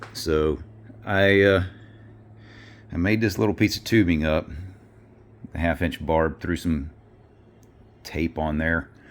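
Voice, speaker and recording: Using a very deep, low pitch and a Southern US accent, a man speaks at a fairly slow pace with ordinary pitch variation and long, frequent pauses. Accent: Southern US accent, self-noted. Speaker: car mechanic video maker. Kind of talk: hands-on tutorial. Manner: casual, halting with fillers.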